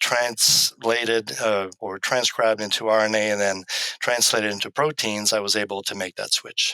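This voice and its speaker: A man's fairly low-pitched voice with a bright, sharp tone, a moderate pace and fairly even intonation. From Quebec. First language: French. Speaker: animal science professor. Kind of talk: interview. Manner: hesitant, many ums.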